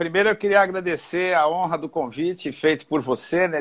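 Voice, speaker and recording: A man with a high voice talks at a moderate pace, his pitch varying in an ordinary way. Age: 60s. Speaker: physical education teacher and physiotherapist. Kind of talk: interview.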